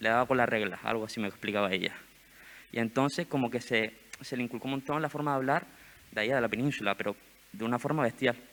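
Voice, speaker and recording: Despite long, frequent pauses, a man with a medium pitch talks at a very fast pace. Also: ordinary pitch variation. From Gran Canaria. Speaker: summer university panel participant. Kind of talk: panel discussion. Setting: stage with audience. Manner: animated.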